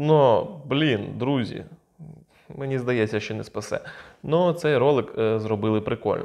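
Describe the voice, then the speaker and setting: Speaking very slowly, a man is heard with a quiet background behind him. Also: medium pitch for a man, ordinary pitch variation. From Ukraine. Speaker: video blogger. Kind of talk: casual commentary on videos. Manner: informal, sarcastic. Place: home room. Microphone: lapel.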